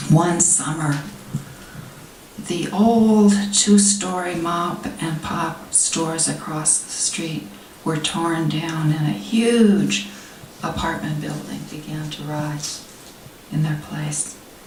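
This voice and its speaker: Over noticeable background noise, a woman with a fairly low pitch speaks at a very slow pace, with ordinary pitch variation, big swings in loudness, and long, frequent pauses. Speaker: poet. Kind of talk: poetry reading. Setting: live reading at a literary society event.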